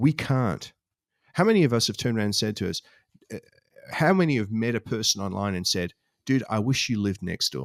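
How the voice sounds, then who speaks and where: A man with an Australian accent at medium pitch, fairly quick yet with long, frequent pauses, lively intonation, and a dry, close sound with no echo on a very clean recording with a silent background. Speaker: stay-at-home dad podcast panelist. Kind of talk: casual chat.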